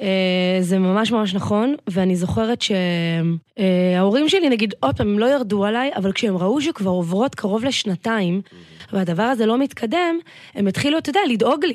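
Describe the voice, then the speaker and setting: With a normal speaking voice, a woman talks at a moderate pace and medium pitch, her intonation lively. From Israel, north Tel Aviv. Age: 30s. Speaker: business coach. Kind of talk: podcast interview.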